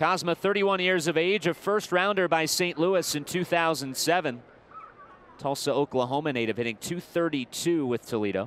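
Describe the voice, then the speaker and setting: Fairly slow, lively intonation over noticeable background noise. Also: man, fairly high pitch for a man. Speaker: baseball broadcaster. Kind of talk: live sports commentary, play-by-play. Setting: stadium broadcast booth.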